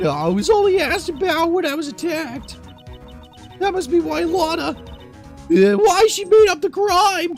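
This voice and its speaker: Clear music plays in the background as a man speaks at a moderate pace. He uses a put-on character voice at an extremely high pitch. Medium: game stream. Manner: soft, apologetic.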